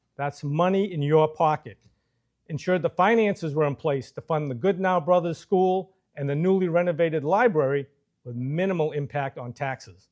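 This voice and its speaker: This is a man with an unremarkable speaking voice, fairly high in pitch, using ordinary pitch variation at a moderate pace. The recording is very clean, with a silent background. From Massachusetts, Marlborough. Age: 60s. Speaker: political candidate. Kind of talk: campaign speech. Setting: studio. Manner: formal.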